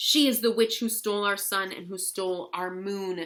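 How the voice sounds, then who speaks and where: In a put-on character voice, a woman speaks at medium pitch and a moderate pace with fairly even intonation and big swings in loudness, on a very clean recording with a silent background. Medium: read story. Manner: stern, determined.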